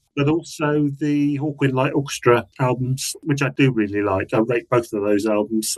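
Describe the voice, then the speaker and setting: At a moderate pace and with hardly any pauses, a man with an English accent speaks at medium pitch with ordinary pitch variation. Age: 60s. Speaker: music author. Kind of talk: casual chat. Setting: video call.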